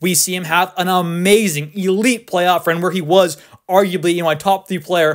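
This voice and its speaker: An excited man's high-pitched voice at a moderate pace. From Canada. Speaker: sports YouTuber. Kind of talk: casual commentary video. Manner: loud, excited.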